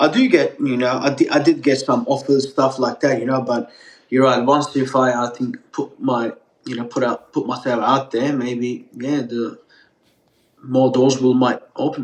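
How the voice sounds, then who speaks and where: A man speaks with a slight Australian accent. His intonation is monotone and flat. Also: medium pitch for a man, moderate pace. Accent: partial Australian. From Turkey, raised in Melbourne, Australia. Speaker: pizza chef. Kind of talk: podcast interview.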